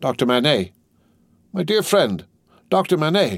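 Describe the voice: Using a put-on character voice with a slightly husky edge, a man speaks at a fairly slow pace in a fairly high pitch, with big pitch swings, on a very clean recording with a silent background.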